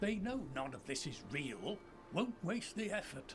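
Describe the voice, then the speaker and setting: Someone uses a put-on character voice at a moderate pace. Background noise is clearly audible. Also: man, high pitch for a man. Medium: video game.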